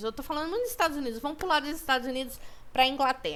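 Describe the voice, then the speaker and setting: A woman speaks at a high pitch. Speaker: student teacher. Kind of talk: recorded online lesson. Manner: fast. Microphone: poor microphone.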